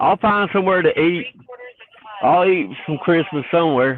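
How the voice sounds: A fairly slow pace with a Southern US accent. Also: man.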